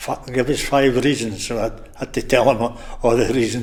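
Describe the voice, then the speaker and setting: In a Scottish Borders accent, a man of medium pitch speaks at a moderate pace with monotone, flat intonation. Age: 70s. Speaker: retired rugby player. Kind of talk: interview. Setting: bar.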